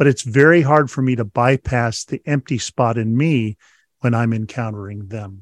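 Delivered in a normal speaking voice, the speech has lively intonation, a moderate pace, and a dry, close sound with no echo. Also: man. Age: 60s. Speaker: author and leadership trainer. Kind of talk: casual interview chat.

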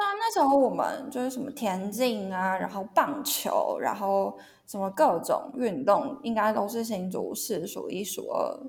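A woman's high voice with very wide pitch swings at a fairly slow pace, amid noticeable background noise and audible room echo. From Taiwan, Hsinchu. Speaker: sports media content editor. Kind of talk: casual chat.

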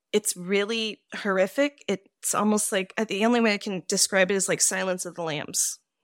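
On a very clean recording with a silent background and a dry, close sound with no echo, a woman with a plain, everyday voice speaks at a medium pitch with fairly even intonation. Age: 40s. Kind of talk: casual interview chat.

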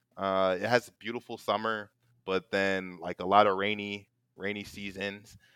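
In a dry, close recording with no echo, a man speaks at a moderate pace with a fairly low pitch and monotone, flat intonation. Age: 20s. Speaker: gaming company marketing employee. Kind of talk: casual chat. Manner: halting.

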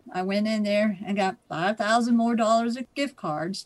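A woman speaks with a Midwestern American accent at a medium pitch. Her pace is fairly slow, and her pitch varies in an ordinary way. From Ohio. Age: 60s. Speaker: scam victim. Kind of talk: testimony.

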